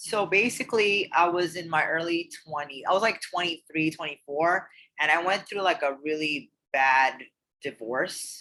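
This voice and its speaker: Moderately paced, a woman speaks with a fairly low pitch and ordinary pitch variation. Her tone is bright and sharp. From Queens, New York. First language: Urdu. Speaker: professional bodybuilder. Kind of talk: interview. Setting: podcast.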